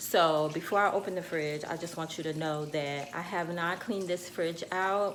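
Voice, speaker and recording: A woman's fairly low voice at a moderate pace, with fairly even intonation, hardly any pauses and audible room echo. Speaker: lifestyle vlogger. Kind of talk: casual vlog.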